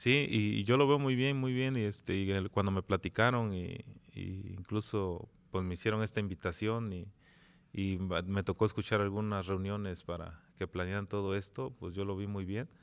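A man with a normal speaking voice, fairly low-pitched, at a moderate pace with ordinary pitch variation, on a very clean recording with a silent background. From Jantetelco, Morelos, Mexico. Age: 40s. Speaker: municipal president. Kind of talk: interview.

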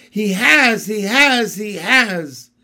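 A squeaky, put-on character voice sits at a fairly high pitch. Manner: frantic, panicked.

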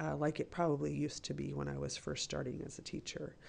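Speaking at a fairly quick pace, a woman shows vocal fry and very wide pitch swings. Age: 40s. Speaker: teacher. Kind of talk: interview.

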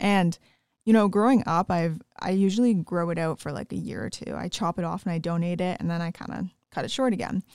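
Speaking very fast with a Canadian accent and fairly even intonation, a woman at a medium pitch is recorded very cleanly against a silent background, the sound dry and close with no echo. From Northern Ontario, Canada. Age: 20s. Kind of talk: casual interview chat. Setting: studio.

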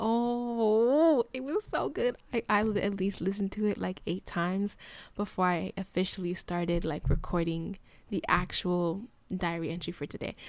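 A woman speaks at a moderate pace with an ordinary speaking voice and lively intonation at a medium pitch. The recording is very clean with a silent background. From US, Colorado. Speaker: college student podcaster. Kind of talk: personal reflective monologue. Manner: casual, many fillers.

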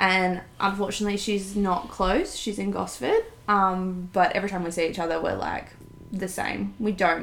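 A woman speaks at a moderate pace with an Australian accent, medium pitch and a monotone, flat intonation, with audible room echo and noticeable background noise. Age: 20s. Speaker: podcast co-host. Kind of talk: casual chat. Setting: home lounge room.

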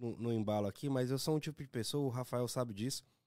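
On a very clean recording with a silent background, a man talks at a fairly quick pace in a dark, mellow tone with ordinary pitch variation. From Governador Valadares, Minas Gerais, Brazil. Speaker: pagode band musician. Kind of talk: casual chat.

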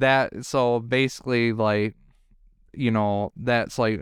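On a very clean recording with a silent background, a man speaks at a very slow pace. His intonation is fairly even, and he has a Detroit accent. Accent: Detroit-area Michigan. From Michigan, around Detroit. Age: 20s. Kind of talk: casual chat.

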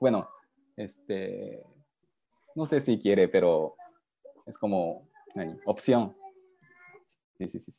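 A man with a Japanese accent speaks very slowly, leaving long, frequent pauses. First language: Japanese (speaking Spanish). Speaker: father. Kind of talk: video call interview. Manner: halting.

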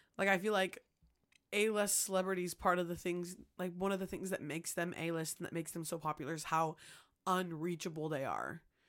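A woman with a normal speaking voice talks at a fairly quick pace, fairly low in pitch and with fairly even intonation, on a very clean recording with a silent background. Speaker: podcast co-host. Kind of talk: casual chat. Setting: studio.

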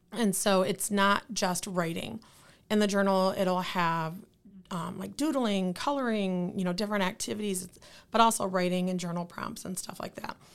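A woman speaks at a moderate pace with a medium pitch. The recording is very clean, with a silent background. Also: ordinary pitch variation. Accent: Midwestern American. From Lansing, Michigan. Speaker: nonprofit founder. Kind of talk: interview.

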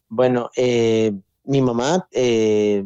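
Recorded dry and close with no echo, the man's voice has a dark, mellow tone at a medium pitch. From Costa Rica. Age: 30s. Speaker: motivational speaker. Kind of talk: testimony.

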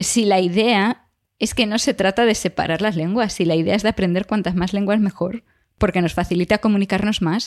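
On a very clean recording with a silent background and a dry, close sound with no echo, a woman with a plain, everyday voice speaks at a medium pitch and a fairly quick pace. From Galicia, Spain. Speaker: podcast co-host, biologist. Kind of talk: casual chat.

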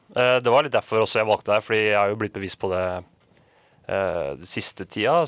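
A man speaks at a fairly quick pace in a fairly low pitch, with a dry, close sound, no echo and a quiet background. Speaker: radio co-host. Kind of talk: casual chat.

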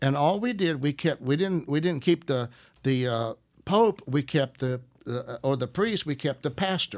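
With a Southern US accent, a man uses lively intonation at a fairly high pitch on a very clean recording with a silent background. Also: moderate pace. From US South, Arkansas. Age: 70s. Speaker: minister. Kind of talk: casual chat.

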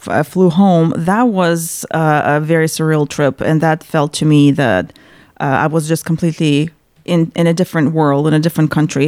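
At a moderate pace, a woman speaks with a Russian accent and a fairly low pitch. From central Russia, Chuvash Republic. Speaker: paralegal. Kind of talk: interview. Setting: studio.

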